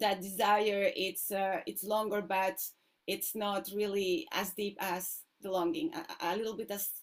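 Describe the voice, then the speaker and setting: With a non-native accent, a woman speaks fairly slowly at a medium pitch, using ordinary pitch variation. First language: not English. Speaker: workshop participant. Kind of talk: question in online class. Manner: halting, many fillers.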